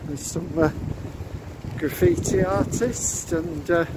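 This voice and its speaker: Noticeable noise sits in the background as the words unfold very slowly. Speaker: walking vlogger. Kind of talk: walking tour narration. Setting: outdoors.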